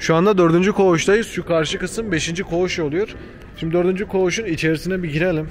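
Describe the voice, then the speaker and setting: A man's high-pitched voice at a moderate pace, with light background noise. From Turkey. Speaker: travel vlogger. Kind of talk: casual vlog narration. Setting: outdoors, filming on the go. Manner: casual, conversational. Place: street. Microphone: phone near.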